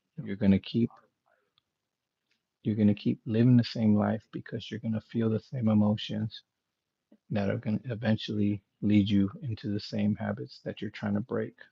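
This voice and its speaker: Soft-spoken and somewhat breathy, the voice has a dark, mellow tone, fairly even intonation and long, frequent pauses. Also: man, fairly low pitch for a man, moderate pace. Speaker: motivational speaker. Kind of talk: live stream talk. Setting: home live stream.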